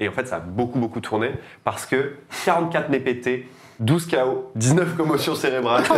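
Over noticeable background noise, a man speaks at a fairly slow pace in a medium pitch with ordinary pitch variation. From France, Tours. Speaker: podcast host. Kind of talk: casual chat.

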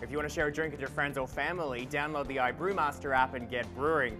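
Clear music plays behind a man speaking at a very fast pace. His tone is upbeat and playful. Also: ordinary pitch variation. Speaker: TV host and news anchor. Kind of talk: upbeat tech show host to camera. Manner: upbeat, playful, conversational.

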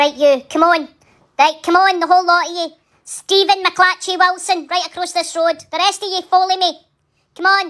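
A woman's put-on character voice, extremely high in pitch, at a moderate pace. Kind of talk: comedic voice-over. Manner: scolding, loud.

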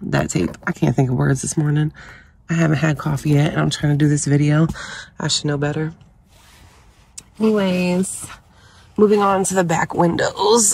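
The speaker is somewhat breathy at a moderate pace with ordinary pitch variation and long, frequent pauses, in a dry sound with no echo and light background noise. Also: woman. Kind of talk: casual vlog tutorial. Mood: relaxed, slightly groggy. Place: car. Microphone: phone near.

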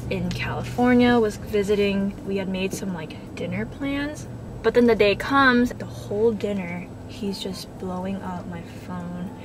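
A woman speaks at a fairly slow pace against noticeable background noise. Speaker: vlogger. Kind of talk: casual vlog chat. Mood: playful storytelling. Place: car. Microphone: phone near.

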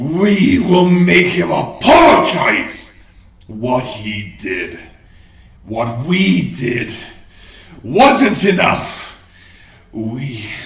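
A man's put-on character voice, fairly high-pitched, at a very slow pace with long, frequent pauses and a slight echo. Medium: audio drama. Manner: shouting, enraged.

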